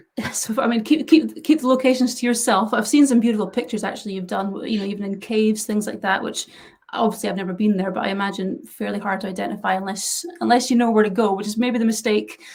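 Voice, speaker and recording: A woman's very fast, fairly high-pitched speech in a Scottish accent, with hardly any pauses and noticeable background noise. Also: ordinary pitch variation. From west coast of Scotland. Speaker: interviewer for a camera filter brand. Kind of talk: casual interview on a live stream.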